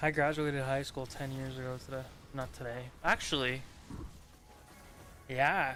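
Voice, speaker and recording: Long, frequent pauses break up the speech at a moderate pace. Music plays in the background. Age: 20s. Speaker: gaming streamer. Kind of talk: casual chat. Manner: animated.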